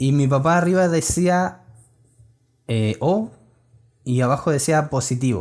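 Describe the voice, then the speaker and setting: A man with a Chilean accent and fairly high pitch, with lively intonation, very even loudness, a fairly slow pace and long, frequent pauses, on a very clean recording with a silent background. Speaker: podcast co-host. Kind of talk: casual chat.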